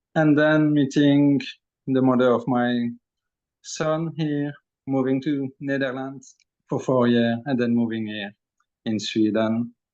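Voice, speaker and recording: A man with a French accent speaks at a very slow pace and a medium pitch. His intonation is fairly even, broken by long, frequent pauses. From Belgium. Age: 40s. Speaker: energy healer and channeler. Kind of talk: interview testimony. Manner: hesitant, many fillers.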